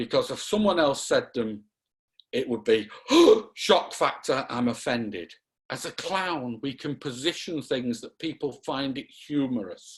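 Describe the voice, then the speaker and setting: A man with a Lancashire accent, fairly high pitch, fairly slow pace and lively intonation. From Lancashire, northern England. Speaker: clown performer and lecturer. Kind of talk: interview.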